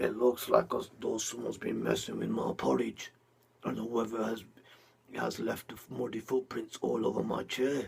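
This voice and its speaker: A man's put-on character voice, growling at a moderate pace. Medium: read story.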